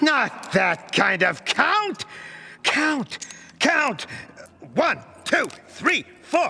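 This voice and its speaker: Using a cartoonish character voice at an extremely high pitch, a man speaks at a very slow pace with very wide pitch swings and long, frequent pauses. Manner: impatient, snappish.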